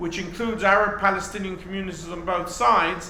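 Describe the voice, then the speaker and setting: A man with a British accent, high-pitched and raised to project, fairly quick with fairly even intonation, plus audible room echo and noticeable background noise. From England, North London. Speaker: professor. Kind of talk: lecture.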